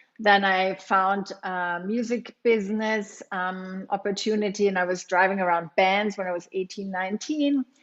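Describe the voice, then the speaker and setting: With a German accent, a woman at medium pitch speaks at a moderate pace, her intonation fairly even and hardly any pauses breaking it up. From Germany. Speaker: yoga teacher and studio owner. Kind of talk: interview.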